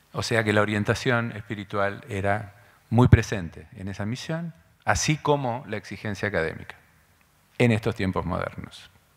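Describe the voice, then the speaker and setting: Someone speaks with an Argentine accent at a moderate pace. The background is quiet. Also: man, fairly low pitch for a man, ordinary pitch variation. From Argentina. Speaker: school director; speaker. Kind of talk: lecture. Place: hall. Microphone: podium.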